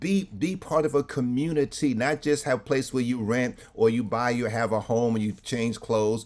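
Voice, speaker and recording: A man with a New York accent speaks at a medium pitch and a moderate pace. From New York City (Harlem). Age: 60s. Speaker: clergy and trauma speaker. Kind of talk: webinar presentation. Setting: video call. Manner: preacherly, punctuated with amens.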